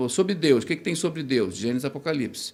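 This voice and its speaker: A man talks with lively intonation. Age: 60s. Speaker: theology professor, bible institute coordinator. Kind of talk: podcast interview.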